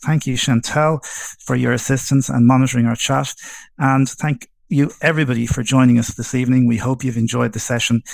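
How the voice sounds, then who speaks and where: A man with a strong Irish accent, medium pitch and moderate pace. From Ireland, Dublin. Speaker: webinar host. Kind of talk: hosting a Q&A session.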